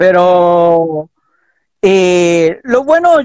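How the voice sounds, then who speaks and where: There is a man with lively intonation here, recorded dry with no echo and with a quiet background. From Chile. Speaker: pastors' son. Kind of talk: interview. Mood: relaxed, friendly, smiling. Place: home room.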